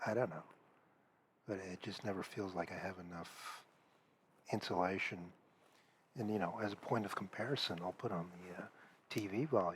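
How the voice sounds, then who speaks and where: This soft-spoken voice moves at a moderate pace with ordinary pitch variation and long, frequent pauses. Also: man, very deep, low pitch for a man. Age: 40s. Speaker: comedian. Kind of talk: casual monologue. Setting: at home. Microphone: cheap headset.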